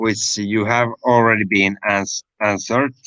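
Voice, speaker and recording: A man with a Finnish accent speaks very slowly at a fairly low pitch. His tone is bright and sharp, and the sound is dry and close, with no echo. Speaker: livestream host. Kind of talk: casual chat.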